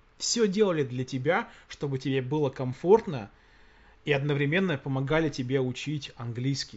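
A man's somewhat breathy voice with very wide pitch swings. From Russia. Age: 40s. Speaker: podcast host. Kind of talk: casual chat.

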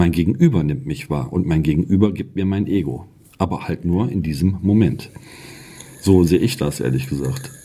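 A man with a very deep, low pitch speaks at a moderate pace. His pitch makes very wide swings over noticeable background noise. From outside the region where the show is made. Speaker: podcast co-host. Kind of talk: casual spiritual discussion. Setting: sitting together in the same room. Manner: animated.

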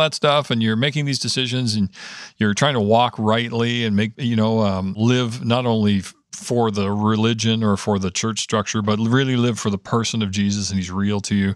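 Heard in a very clean recording with a silent background, a man with a Canadian accent and a plain, everyday voice speaks at a moderate pace, with medium pitch and ordinary pitch variation. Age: 50s. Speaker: prayer ministry director. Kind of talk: casual chat.

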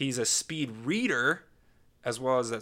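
Bright and sharp, the voice carries a playful tone. Its intonation stays fairly even. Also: man, very clean recording, silent background. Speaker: podcast host. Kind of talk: casual banter. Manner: joking, playful.

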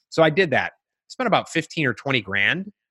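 A man's bright, sharp voice moves with lively intonation. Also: dry, close sound with no echo. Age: 40s. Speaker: entrepreneur and life coach. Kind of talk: interview. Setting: video call.

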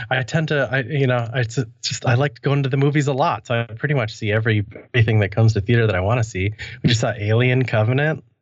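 A man with an American accent and a medium, somewhat breathy voice speaks at a very fast pace with fairly even intonation against a quiet background. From US Midwest (near Madison, Wisconsin). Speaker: web developer and podcaster. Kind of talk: casual interview.

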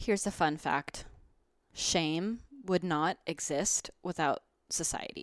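A woman's fairly low voice at a very slow pace, with long, frequent pauses and ordinary pitch variation, in a very clean, silent recording with a dry, close sound and no echo. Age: 20s. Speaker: wellness podcast host. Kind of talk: casual monologue.

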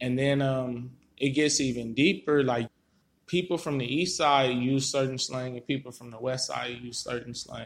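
Speaking with an American accent and an unremarkable speaking voice, a man keeps a medium pitch, moderate pace and fairly even intonation, with big swings in loudness. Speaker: podcast co-host. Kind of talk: recorded monologue.

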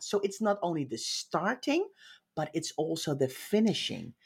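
A woman talks with a Dutch accent and vocal fry, her pitch swinging very widely. The recording is very clean, with a silent background. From Netherlands. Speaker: professional organizer. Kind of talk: interview. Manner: direct.

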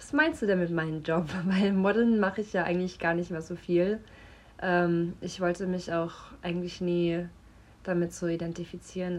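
A woman speaks at a moderate pace in a fairly low voice, her intonation flat and monotone. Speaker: model and actress. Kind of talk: casual chat via voice notes.

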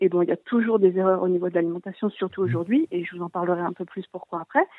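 A woman talks with ordinary pitch variation. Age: 30s. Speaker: naturopath. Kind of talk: call-in explanation.

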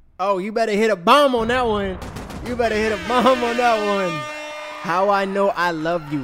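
A high-pitched man at a moderate pace, with ordinary pitch variation and noticeable background noise. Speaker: music artist and podcast host. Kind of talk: casual chat.

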